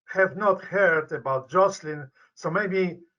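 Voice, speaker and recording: A man with a Polish accent speaks in a high pitch. His voice is raised and projected. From Poland. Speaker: medical professor and researcher. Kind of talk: interview. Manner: halting.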